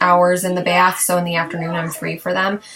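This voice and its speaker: Over noticeable background noise, a woman speaks fairly quickly in a monotone, flat intonation. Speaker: mother of three boys. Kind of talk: casual talk to camera. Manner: hesitant, conversational.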